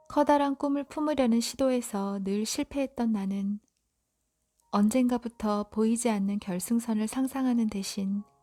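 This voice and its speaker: Fairly slow, fairly high-pitched speech from a woman with ordinary pitch variation, dry and close with no echo, with music in the background. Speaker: audiobook reader. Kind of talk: sleep-time book reading. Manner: soft, calm, slow.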